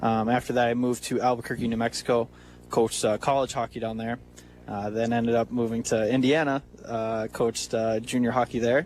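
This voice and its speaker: A man with a Wisconsin accent talks fairly quickly at a medium pitch in a flat monotone. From small town in Wisconsin. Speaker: hockey coach and team owner. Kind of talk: radio interview. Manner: halting, many fillers.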